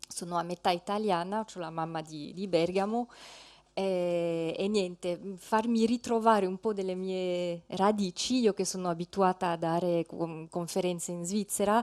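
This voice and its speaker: Speaking in a French accent at a fairly slow pace, a woman of medium pitch keeps her intonation fairly even while her loudness swings widely, in a dry, close sound with no echo. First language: French (speaking Italian). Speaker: ethnologist, lecturer. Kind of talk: conference talk. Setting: conference hall, seated with slides. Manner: halting, many fillers.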